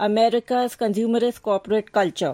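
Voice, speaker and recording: In an Indian accent, a woman speaks at a moderate pace with fairly even intonation. Her fairly high pitch has a dark, mellow tone on a very clean recording with a silent background. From India, Mumbai. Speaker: book blogger. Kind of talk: prepared book recommendation.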